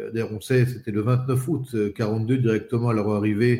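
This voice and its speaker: Somewhat breathy and dark, mellow in tone, a man at a medium pitch speaks with fairly even intonation at a moderate pace. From Paris suburbs, France. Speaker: spokesperson. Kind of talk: interview. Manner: halting, repeats words.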